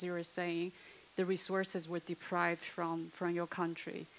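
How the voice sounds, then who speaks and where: A woman at a moderate pace. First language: not English. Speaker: audience member asking questions. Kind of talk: panel discussion question. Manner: halting.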